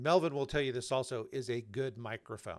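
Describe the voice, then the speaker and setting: Here is a man with an ordinary speaking voice. His pitch is medium. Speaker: YouTube channel host. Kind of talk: live panel discussion.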